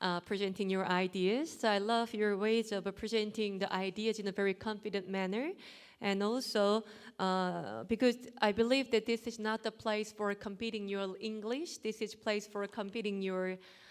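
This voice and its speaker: A woman at a moderate pace, medium pitch and fairly even intonation, on a very clean recording with a silent background. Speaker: competition judge. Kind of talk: spoken feedback to contestants.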